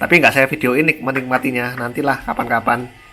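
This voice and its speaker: With music in the background, the talking goes along fairly quickly. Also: man. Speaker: cooking vlogger. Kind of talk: cooking tutorial. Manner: casual, chatty.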